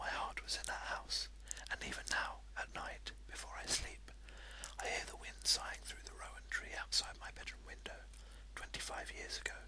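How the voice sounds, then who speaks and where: Whispering in a soft-spoken, soothing tone, the speaker keeps a moderate pace amid noticeable background noise. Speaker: amateur video blogger who reads aloud. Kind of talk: reading aloud a short story in a whisper. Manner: whispered, soft, soothing.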